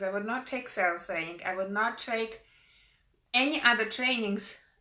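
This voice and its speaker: A woman speaks at a moderate pace with a bright, sharp tone. Her pitch sits fairly high and varies in an ordinary way. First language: not English. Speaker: business coach and motivational speaker. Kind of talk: motivational talk.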